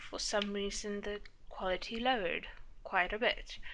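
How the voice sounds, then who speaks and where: A woman with a South African accent speaks at a fairly high pitch in a bright, sharp tone. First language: Afrikaans. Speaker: planner YouTuber. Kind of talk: casual chat.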